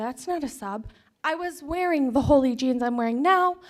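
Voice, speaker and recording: A woman speaks loudly in a high voice. The recording is very clean, with a silent background. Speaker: parent speaking at public comment. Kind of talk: public comment at board meeting.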